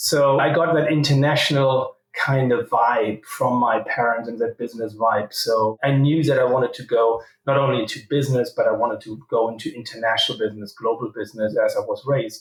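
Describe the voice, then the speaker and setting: Speaking fairly quickly with hardly any pauses, a man with a German accent has a medium pitch. His voice is somewhat breathy, and his intonation is fairly even. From Germany. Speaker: company CEO. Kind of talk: interview.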